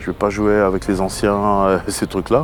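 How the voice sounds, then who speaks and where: Music plays in the background as a man with a fairly low voice talks at a fairly quick pace. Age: 30s. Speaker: former rugby player. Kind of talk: interview testimony. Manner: hesitant, many fillers.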